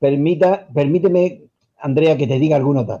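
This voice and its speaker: A man talks at a moderate speed in a fairly high, somewhat breathy voice that is dark and mellow in tone, with ordinary shifts in pitch. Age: 60s. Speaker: retired teacher. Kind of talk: radio interview. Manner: formal.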